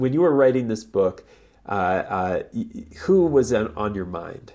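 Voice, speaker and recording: Medium-pitched male voice with very wide pitch swings, at a moderate pace against a quiet background. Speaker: radio host and professor. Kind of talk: radio interview. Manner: halting, filler words.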